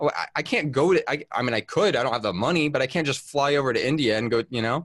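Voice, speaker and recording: Against a quiet background, a man talks at a fairly quick pace with a fairly high pitch and lively intonation. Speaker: online pastor. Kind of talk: panel discussion. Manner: halting, repeats words.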